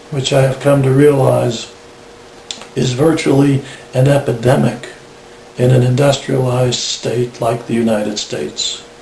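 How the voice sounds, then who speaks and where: A man at a medium pitch, with long, frequent pauses, audible room echo and noticeable background noise. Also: fairly even intonation, moderate pace. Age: 60s. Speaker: tinnitus patient. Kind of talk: personal testimony. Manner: measured, formal.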